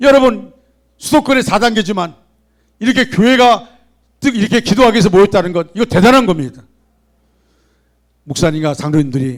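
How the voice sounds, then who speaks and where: This man talks at a fairly quick clip with a high pitch, very wide swings in pitch, and long, frequent pauses. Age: 60s. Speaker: pastor. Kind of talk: sermon. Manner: animated.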